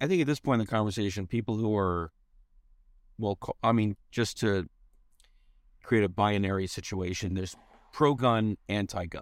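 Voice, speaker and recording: On a very clean recording with a silent background and a dry, close sound with no echo, a man of fairly low pitch speaks at a moderate pace with ordinary pitch variation and long, frequent pauses. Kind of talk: casual chat. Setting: in a car.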